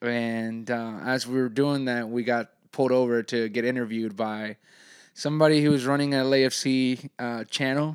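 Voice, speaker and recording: On a very clean recording with a silent background, a man talks in an ordinary speaking voice. His medium pitch carries fairly even intonation at a moderate pace. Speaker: soccer podcast host. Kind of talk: casual chat.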